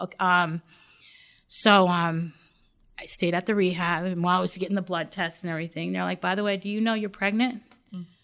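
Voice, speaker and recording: A fairly quick pace in a New York accent, with fairly even intonation, long, frequent pauses, and a very clean recording with a silent background. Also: woman, medium pitch for a woman. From Long Island, New York. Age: 40s. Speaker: recovering addict in rehab program. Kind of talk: testimony.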